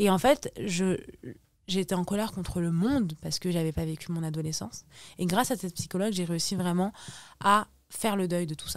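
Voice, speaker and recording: Against a very clean recording with a silent background, a woman with a fairly low pitch and ordinary pitch variation speaks at a fairly quick pace, with long, frequent pauses. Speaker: social media influencer. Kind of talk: podcast interview. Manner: loud; halting.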